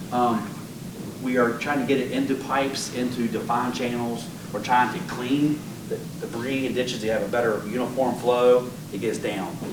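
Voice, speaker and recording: The pitch of this man's voice is medium. Audible room echo and noticeable background noise are present. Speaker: engineer. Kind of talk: public presentation. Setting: public meeting with audience. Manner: fast; animated.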